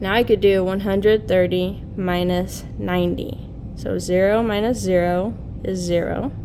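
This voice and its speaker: Speaking at a fairly slow pace, a woman is heard with audible room echo and noticeable background noise. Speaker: teacher. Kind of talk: tutorial.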